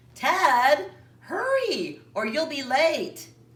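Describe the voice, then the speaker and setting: In a put-on character voice, a female-sounding speaker talks at a high pitch. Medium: read story. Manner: motherly.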